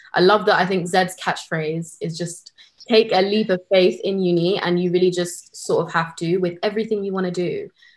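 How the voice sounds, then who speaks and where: A woman with a London accent and monotone, flat intonation. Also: medium pitch for a woman, moderate pace. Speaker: university student. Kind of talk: casual chat.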